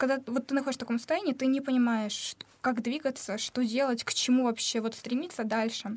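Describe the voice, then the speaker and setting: Her voice is high-pitched and fairly even in intonation as this woman talks at a fairly quick pace. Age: young. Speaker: former medical student. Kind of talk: casual chat. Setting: studio.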